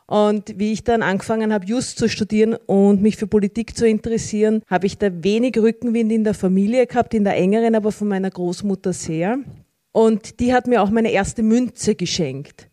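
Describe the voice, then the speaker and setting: A woman speaks at a fairly quick pace in a fairly high pitch, her dark, mellow tone heard in a dry, close sound with no echo and her intonation fairly even. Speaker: member of parliament. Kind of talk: panel discussion. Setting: stage with audience.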